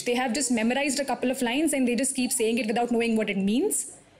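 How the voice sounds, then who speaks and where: Against noticeable background noise, a woman with a high pitch talks at a very fast pace. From Thane, near Mumbai, India. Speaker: stand-up comedian. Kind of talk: stand-up.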